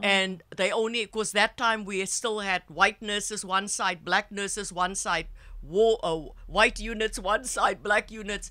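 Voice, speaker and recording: A woman with a South African accent, fairly slow and fairly even in intonation. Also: medium pitch for a woman. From South Africa, Cape Town. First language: Afrikaans. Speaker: psychotherapist and healer. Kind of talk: interview storytelling. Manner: halting.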